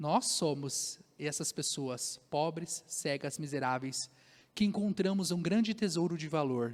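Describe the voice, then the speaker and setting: A man with an ordinary speaking voice talks at a fairly slow pace in a fairly high pitch. Pitch variation is ordinary, on a very clean recording with a silent background. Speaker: pastor. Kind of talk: sermon. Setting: church.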